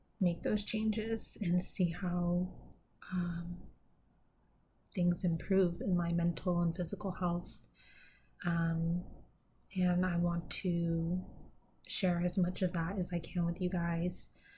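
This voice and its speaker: A woman speaks very slowly, with long, frequent pauses, in a fairly low, somewhat breathy voice of dark, mellow tone. Her loudness stays very even and her intonation is monotone and flat. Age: 30s. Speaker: mental health vlogger. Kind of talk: personal vlog monologue. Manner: hesitant, many fillers.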